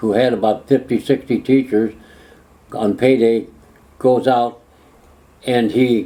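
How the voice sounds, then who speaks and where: Set at a moderate pace, the voice has a dark, mellow tone, fairly even intonation and an American accent. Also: man. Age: 80s+. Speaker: former mayor. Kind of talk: interview answer. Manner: storytelling, conversational.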